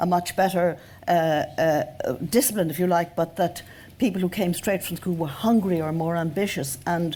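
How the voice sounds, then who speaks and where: Someone with an Irish accent speaks at a moderate pace in a dark, mellow tone. The recording is very clean, with a silent background. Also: woman. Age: 70s. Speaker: journalist and writer. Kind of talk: panel discussion. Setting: stage with audience.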